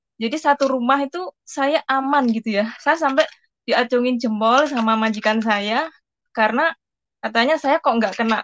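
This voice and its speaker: Over light background noise, a woman speaks at a moderate pace in a high pitch with ordinary pitch variation, the sound dry with no echo. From Central Java, Indonesia (Pati); Central Java. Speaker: migrant domestic worker. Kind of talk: product testimony. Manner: hesitant, filler-heavy. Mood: grateful, enthusiastic. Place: home room. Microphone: video call.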